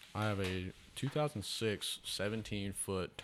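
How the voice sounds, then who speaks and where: A man speaks with a Southern US accent at a fairly low pitch. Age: 20s. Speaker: truck parts salesman, hunter. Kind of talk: casual chat.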